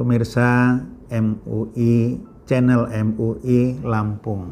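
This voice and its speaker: This man speaks at a very slow pace with a medium pitch, monotone, flat intonation and a dark, mellow tone. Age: 60s. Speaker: Islamic preacher. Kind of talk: religious talk.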